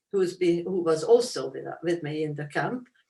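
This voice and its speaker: A woman with a Hungarian accent talks at a moderate pace in a fairly low voice with ordinary pitch variation. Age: 80s+. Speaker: Holocaust survivor, author. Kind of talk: interview Q&A.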